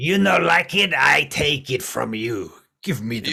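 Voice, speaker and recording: A put-on character voice, raspy and gruff, cackles along at a moderate pace. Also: man, medium pitch for a man. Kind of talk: broken, simple grammar. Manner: cackling, gruff.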